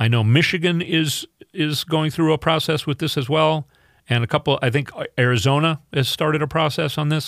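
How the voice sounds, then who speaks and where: A man with an American accent, fairly high in pitch, fairly quick, with ordinary pitch variation, on a very clean recording with a silent background. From Minnesota. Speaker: fill-in radio host. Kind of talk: political talk radio monologue. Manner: halting, many fillers.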